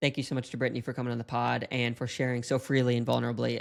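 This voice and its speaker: On a very clean recording with a silent background, a man with a slight Appalachian accent talks at a very fast pace. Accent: slight Southern, Appalachian. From Chattanooga, Tennessee / North Carolina. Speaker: podcast host. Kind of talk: casual interview chat.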